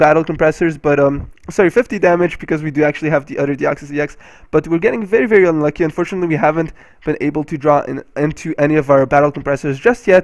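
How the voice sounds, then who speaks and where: The man's voice sits fairly high in pitch. He talks at a very fast pace. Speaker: card game video creator. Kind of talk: casual gameplay commentary.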